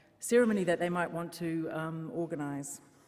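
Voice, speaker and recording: A woman with a New Zealand accent speaks at a moderate pace. Her voice is fairly low, with a dark, mellow tone. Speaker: funeral service worker. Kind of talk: conference talk.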